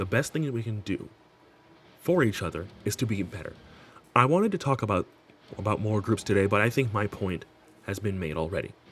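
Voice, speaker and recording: Music plays in the background as a man with a fairly low pitch talks fairly quickly, his pitch varying in an ordinary way. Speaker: gaming commentary youtuber. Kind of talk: scripted commentary video. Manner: halting, with repeats and flubs.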